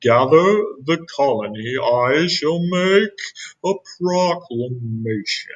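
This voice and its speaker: Putting on a character voice, a man talks at a very slow pace with a fairly high pitch. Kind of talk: regal. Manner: heroic.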